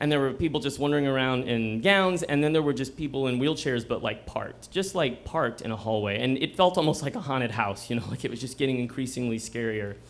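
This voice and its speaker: Someone speaks at a very fast pace with hardly any pauses and ordinary pitch variation. There is noticeable background noise. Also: man, medium pitch for a man. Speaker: storyteller. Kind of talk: live storytelling performance. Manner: conversational, comedic.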